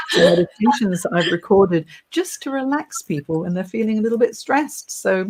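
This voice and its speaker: Somewhat breathy and fairly high-pitched, a woman talks at a fairly quick pace with lively intonation. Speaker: career coach and podcast host. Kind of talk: live video interview. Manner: talkative.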